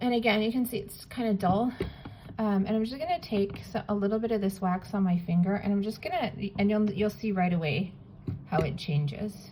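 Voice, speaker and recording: With noticeable background noise behind her, a woman speaks at a fairly quick pace. Her pitch varies in an ordinary way. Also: medium pitch for a woman. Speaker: polymer clay artist. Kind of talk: tutorial. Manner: casual, with many fillers.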